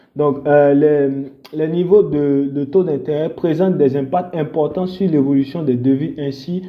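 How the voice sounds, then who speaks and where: Fairly slow delivery with fairly even intonation. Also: man. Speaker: forex trading educator. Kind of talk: tutorial. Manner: halting, many fillers.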